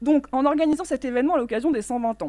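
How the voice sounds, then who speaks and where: A woman in a normal speaking voice, fairly quick, with lively intonation and a dry sound with no echo. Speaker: president of a nonprofit federation. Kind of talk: opening speech. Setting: stage with audience and microphone. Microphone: podium.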